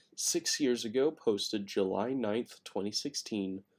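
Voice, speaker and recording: A man talks quietly at a medium pitch. His pitch varies in an ordinary way. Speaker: gaming streamer. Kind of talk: live stream chat. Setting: home at night, late stream. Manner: quiet, subdued; casual, rambling.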